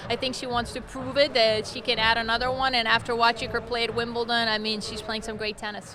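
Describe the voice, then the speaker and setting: Over noticeable background noise, a woman talks at a very fast pace with hardly any pauses and monotone, flat intonation. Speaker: retired professional tennis player. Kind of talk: interview answer. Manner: soft-spoken.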